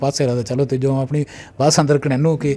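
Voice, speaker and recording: A dark, mellow tone delivered with monotone, flat intonation. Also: man. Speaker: college principal. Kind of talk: interview answer.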